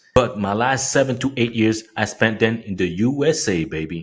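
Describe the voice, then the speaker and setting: Here a man speaks with a French accent at a medium pitch. The recording is very clean, with a silent background. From France, Paris area. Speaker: fitness coach. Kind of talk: motivational tutorial. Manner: animated.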